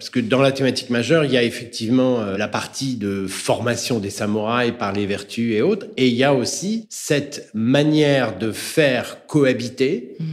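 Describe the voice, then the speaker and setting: A man speaks at medium pitch and a moderate pace in a normal speaking voice. His intonation is lively. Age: 60s. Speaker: entrepreneur and author, business coach. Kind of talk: interview.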